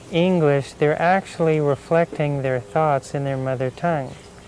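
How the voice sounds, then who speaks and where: Over noticeable background noise, a man with an American accent speaks at a moderate pace in a fairly high pitch with fairly even intonation. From United States. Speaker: Indian music performer and teacher. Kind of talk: documentary interview.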